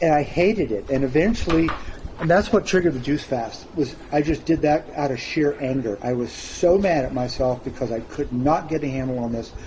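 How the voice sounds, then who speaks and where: Over noticeable background noise, a man talks at a fairly quick pace, his fairly high pitch showing ordinary variation. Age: 60s. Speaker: interview guest sharing weight loss story. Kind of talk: interview testimony.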